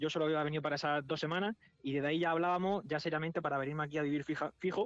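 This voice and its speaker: The man's voice sits fairly high and shows ordinary pitch variation. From Spain, Murcia. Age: 20s. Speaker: football coaching staff member. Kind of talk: interview.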